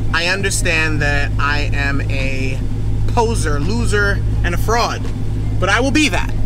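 Noticeable noise sits in the background. The speaker is a man. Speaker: car owner vlogger. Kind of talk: casual vlog chat. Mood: playful self-mocking confession. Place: car. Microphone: camera far.

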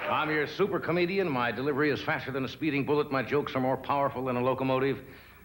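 A man talks at a very fast pace and a fairly high pitch with ordinary variation. Noticeable background noise runs underneath. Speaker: talk show host. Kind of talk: comedy monologue. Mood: dry, playful. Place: stage.

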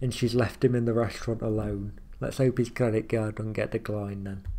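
The man's voice has a dark, mellow tone and fairly even intonation. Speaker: reaction video creator. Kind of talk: casual commentary. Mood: amused, joking.

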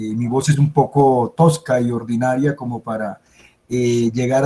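At a fairly slow pace, a man speaks with a dark, mellow tone and fairly even intonation.

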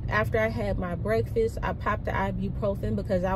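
Over loud background noise, a woman speaks at a moderate pace with fairly even intonation.

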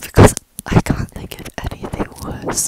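A woman whispers at a fairly slow pace. Her tone is amused. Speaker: YouTuber, vlogger. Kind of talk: ASMR-style whispered talk to camera. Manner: whispered, soft, slow, amused. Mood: playful, giggly. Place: home room. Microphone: earbuds.

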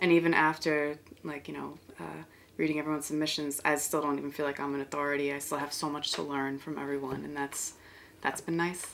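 With a New York accent, a woman talks at a fairly quick pace in a very deep, low voice over light background noise. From Bronx, New York. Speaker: artist. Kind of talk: interview answer. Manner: casual, conversational. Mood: reflective, warm. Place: home room.

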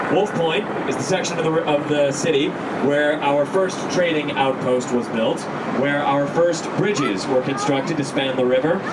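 With loud background noise behind him, a man talks at a moderate pace with ordinary pitch variation. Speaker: boat tour guide. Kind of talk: tour commentary. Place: boat.

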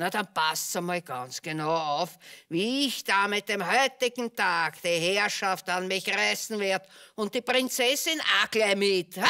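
At a fairly slow pace, a cartoonish character voice delivers its lines. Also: woman, medium pitch for a woman. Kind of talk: theatrical puppet show monologue. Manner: gloating, conspiratorial.

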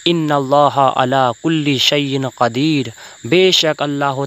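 Here a man has an unremarkable speaking voice. His fairly high pitch stays fairly even in intonation. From West Bengal, Paschim Medinipur. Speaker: Islamic preacher and poet. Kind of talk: religious sermon-style address to viewers.

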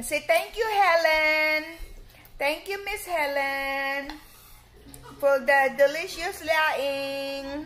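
A woman speaks very slowly in a high voice with a Filipino accent. Her pitch varies in an ordinary way, and there is noticeable background noise. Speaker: vlogger. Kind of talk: casual vlog. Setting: in a car.

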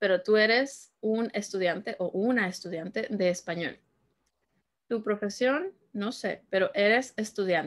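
A woman at medium pitch with ordinary pitch variation over a quiet background. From Peru (Lima). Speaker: Spanish teacher. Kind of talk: language lesson tutorial. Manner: slow, repetitive teaching delivery. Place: home room.

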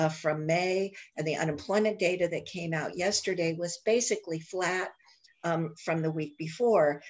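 A woman with an ordinary speaking voice, fairly low pitch and a fairly slow pace. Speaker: guest. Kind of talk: informational briefing. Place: home room. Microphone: video call.

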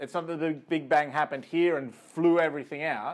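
Against a quiet background, a man with an Australian accent talks at a fairly quick pace and a fairly high pitch. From rural New South Wales, Australia. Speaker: astrophysicist. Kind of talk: lecture. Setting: video call. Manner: hesitant with fillers.

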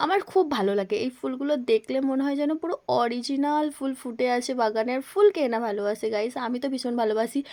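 Her voice high-pitched with a dark, mellow tone, a woman speaks with lively intonation. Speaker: vlogger. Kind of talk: vlog narration.

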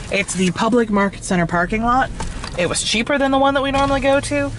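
Dry sound with no echo, plus noticeable background noise. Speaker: travel vlogger. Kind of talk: casual vlog chat. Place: car.

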